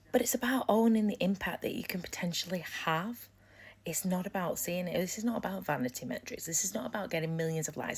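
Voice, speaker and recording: An animated woman's fairly low voice with lively intonation. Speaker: business coach. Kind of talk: live stream talk. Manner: loud.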